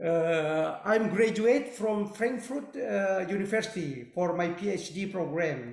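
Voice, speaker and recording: A man's high-pitched voice, very slow and with lively intonation, in audible room echo. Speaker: professor. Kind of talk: webinar Q&A. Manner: halting.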